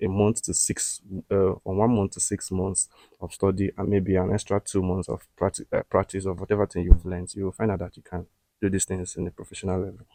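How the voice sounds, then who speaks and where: A man's very deep, low voice, dark and mellow in tone, monotone and flat, at a fairly quick pace, with a dry, close sound with no echo on a very clean recording with a silent background. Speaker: podcast host, tech YouTuber. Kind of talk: casual talk, reading and answering comments. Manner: halting, with fillers and restarts.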